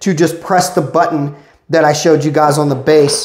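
The recording has audible room echo and a quiet background. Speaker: tech product reviewer. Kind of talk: product review walkthrough. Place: office. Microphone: phone near.

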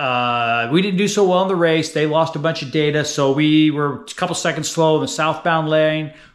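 A fairly bright tone comes through at a moderate pace. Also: man.

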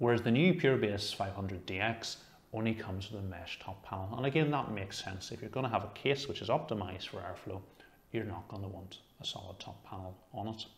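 Speaking fairly quickly, a man uses a fairly low, somewhat breathy voice with ordinary pitch variation and big swings in loudness. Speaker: tech reviewer. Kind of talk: product review talk. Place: home room. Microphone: lapel.

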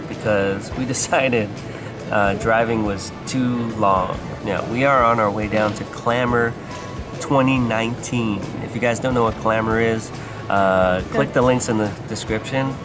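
A man at a fairly slow pace over clear background music. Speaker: family vlogger father. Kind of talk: casual vlog chat. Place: station. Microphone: phone near.

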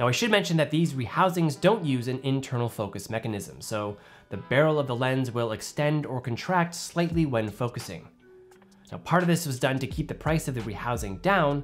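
The speech moves at a fairly quick pace while faint music plays in the background. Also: man. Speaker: filmmaker reviewer. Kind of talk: tutorial commentary. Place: studio.

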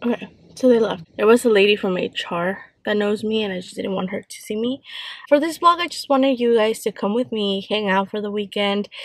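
Speaking at a moderate pace, a woman uses ordinary pitch variation. The sound is dry with no echo and the background is quiet. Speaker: vlogger. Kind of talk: casual vlog chat. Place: car. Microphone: phone near.

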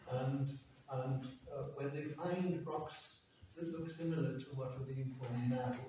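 Man with fairly even intonation amid noticeable background noise and strong room echo. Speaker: speaker. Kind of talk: sermon-like address, bilingual Welsh and English. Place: church. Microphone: camera far.

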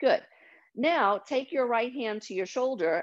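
A woman with an unremarkable speaking voice talks at a moderate pace with lively intonation. The background is quiet. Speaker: yoga teacher. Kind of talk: guided meditation. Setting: video call. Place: home room. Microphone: video call.

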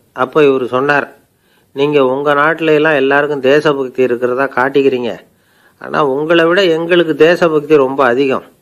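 This man's fairly high voice holds a very even loudness throughout. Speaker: radio storyteller and orator. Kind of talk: humorous storytelling speech. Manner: gentle humour, simple conversational language.

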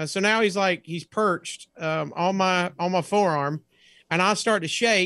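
A man with an American accent talks at a moderate pace in a high, bright, sharp voice with fairly even intonation. The sound is dry with no echo, and the background is quiet. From US South. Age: 40s. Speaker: comedian. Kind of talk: casual chat. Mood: playful, comedic. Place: home room.

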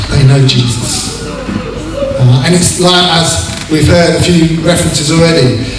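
Over noticeable background noise and strong room echo, a man speaks at a moderate pace. His pitch variation is ordinary. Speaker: pastor. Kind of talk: sermon and baptism service. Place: hall.

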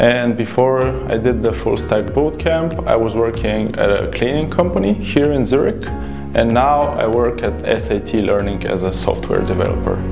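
A man speaks at a moderate pace while clear music sounds in the background. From Bulgaria. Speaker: software developer. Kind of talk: interview answer. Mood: friendly, upbeat. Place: studio. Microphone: lapel.

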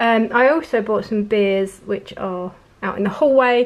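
Medium-pitched woman at a fairly slow pace, with ordinary pitch variation

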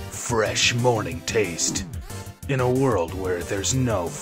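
Over clear background music, a man uses a put-on character voice at a fairly low pitch and a fairly slow pace. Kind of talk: dramatic announcer. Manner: pretend, theatrical.

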